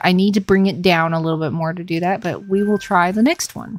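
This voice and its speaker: In a calm tone, a woman speaks at a medium pitch with a slight Southern US accent and ordinary pitch variation. The recording is very clean, with a silent background. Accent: very faint Southern twang. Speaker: gaming livestreamer. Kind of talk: casual livestream chat. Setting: livestream.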